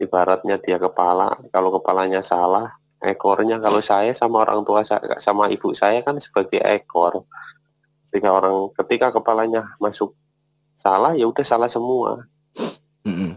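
Against a quiet background, a man with a fairly low pitch talks at a moderate pace, his intonation fairly even and his loudness very even, the sound dry with no echo. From Central Java, Purworejo; Central Java. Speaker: caller. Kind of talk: personal testimony. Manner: halting.

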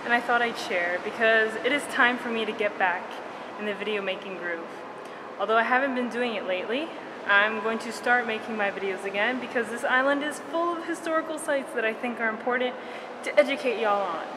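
With noticeable background noise present, a woman's fairly quick speech shows ordinary pitch variation. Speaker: travel vlogger. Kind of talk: casual vlog chat. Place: tunnel cave. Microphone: phone near.

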